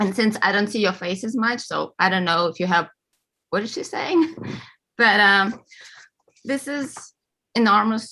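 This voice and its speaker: This speaker has a Russian accent. The tone is bright and sharp. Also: woman. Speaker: award-winning author. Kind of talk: acceptance speech.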